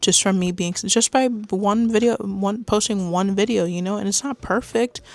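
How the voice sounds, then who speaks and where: Quiet and at a moderate pace, a woman speaks with ordinary pitch variation. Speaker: beginner YouTuber. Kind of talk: casual vlog monologue. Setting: home computer setup, on camera. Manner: quiet and shy; mumbling at times.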